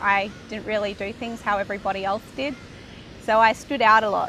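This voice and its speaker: A woman with an Australian accent speaks at a fairly high pitch. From Australia, Brisbane. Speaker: interviewee sharing spiritual journey. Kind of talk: personal testimony.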